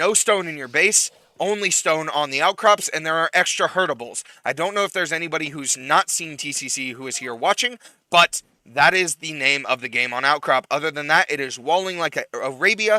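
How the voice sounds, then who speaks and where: Loud speech with a bright, sharp tone moves at a fairly quick pace, with ordinary pitch variation and a dry, close sound that has no echo. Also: man, fairly high pitch for a man. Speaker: esports caster. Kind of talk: live commentary. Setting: live stream.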